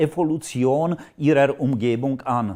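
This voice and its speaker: A man's medium-pitched voice, dark and mellow in tone, with lively intonation on a very clean recording over a silent background. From Czech Republic, Moravia. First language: Czech (speaking German). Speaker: AI lecturer and writer. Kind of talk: educational video lecture.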